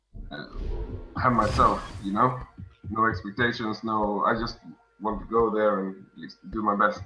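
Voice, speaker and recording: With music in the background, a man with a Swedish accent speaks at a moderate pace and a fairly low pitch, his intonation monotone and flat, his loudness swinging widely, with long, frequent pauses. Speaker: world champion card game player. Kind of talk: casual interview on stream. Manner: halting, many repeats; calm.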